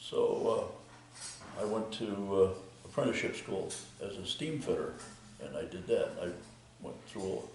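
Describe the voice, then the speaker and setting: Someone with an American accent talks at a fairly slow pace, with audible room echo and noticeable background noise. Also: man. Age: 80s+. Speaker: retired concrete contractor. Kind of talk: interview. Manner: halting, many fillers.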